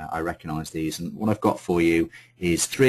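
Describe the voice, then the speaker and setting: A man with a very deep, low voice talks with fairly even intonation. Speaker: sales consultant giving webinar. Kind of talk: webinar presentation. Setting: online webinar call. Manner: fast; hesitant, many fillers.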